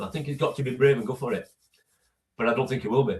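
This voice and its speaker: This somewhat breathy voice talks at a very fast pace in a Yorkshire accent. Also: man. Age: 60s. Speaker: football fan, host's father. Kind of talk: casual chat. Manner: halting, repeats words.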